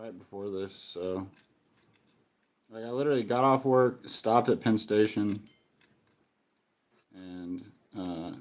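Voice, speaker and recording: A loud man talks at a fairly slow pace, leaving long, frequent pauses. His pitch variation is ordinary. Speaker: pepper grower and chili eating host. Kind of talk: casual chat.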